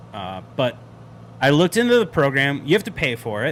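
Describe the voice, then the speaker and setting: A man with vocal fry speaks at a moderate pace. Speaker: flight sim streamer. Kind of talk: live stream chat. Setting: live stream. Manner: casual, filler-heavy; loud.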